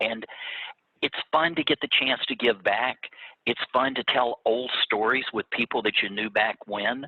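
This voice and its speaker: The speaker uses a Louisiana accent, talking at a moderate pace with ordinary pitch variation. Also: man. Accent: Louisiana Southern US. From Louisiana (Baton Rouge). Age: 60s. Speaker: agribusiness executive, former youth organization state officer. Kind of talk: interview. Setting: video call.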